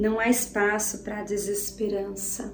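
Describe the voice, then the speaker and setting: A woman's medium-pitched, flat monotone over background music, with audible room echo. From Brazil, interior of São Paulo state. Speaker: preacher. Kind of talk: sermon. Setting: home living room.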